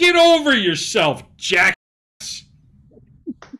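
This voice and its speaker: Raised and projected, the voice moves through very wide pitch swings. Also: man. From Maine. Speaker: podcast co-host. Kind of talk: casual chat. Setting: studio. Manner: animated.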